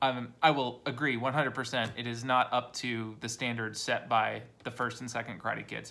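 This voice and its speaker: The delivery runs at a moderate pace with hardly any pauses. Intonation stays monotone and flat. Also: man, medium pitch for a man. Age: 40s. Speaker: YouTuber reviewing movies. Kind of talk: casual monologue. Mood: relaxed, opinionated. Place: home room. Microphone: phone near.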